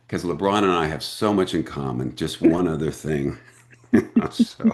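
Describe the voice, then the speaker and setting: Against noticeable background noise, a man with a very deep, low pitch and an American accent talks at a moderate pace with ordinary pitch variation. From US Midwest, Springfield, Missouri. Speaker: actor. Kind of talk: casual interview chat. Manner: animated.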